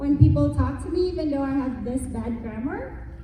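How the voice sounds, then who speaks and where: Spoken at a moderate pace with a Filipino accent, the voice carries audible room echo and noticeable background noise. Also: woman. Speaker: businesswoman. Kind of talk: panel discussion.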